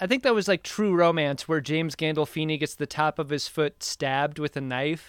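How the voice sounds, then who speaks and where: A man with an unremarkable speaking voice talks at a fairly high pitch and a fairly quick pace with hardly any pauses. The recording is very clean, with a silent background and a dry, close sound with no echo. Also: ordinary pitch variation. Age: 40s. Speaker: podcaster, guest. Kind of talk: casual chat.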